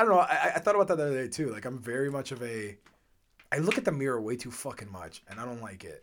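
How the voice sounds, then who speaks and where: This man talks at a very fast pace. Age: 20s. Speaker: podcast host. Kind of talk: casual chat.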